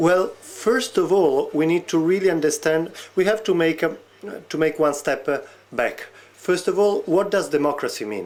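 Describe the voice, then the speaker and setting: High-pitched male voice with a slight non-native accent, ordinary pitch variation and a moderate pace. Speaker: researcher on e-democracy. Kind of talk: interview. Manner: hesitant, many fillers.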